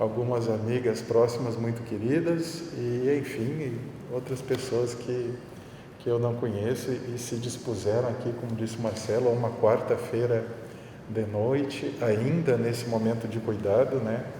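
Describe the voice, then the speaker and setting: A medium-pitched man at a fairly slow pace with fairly even intonation, audible room echo and noticeable background noise. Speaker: art professor. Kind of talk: public talk. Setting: public event with audience. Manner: hesitant. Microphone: muffled by face mask.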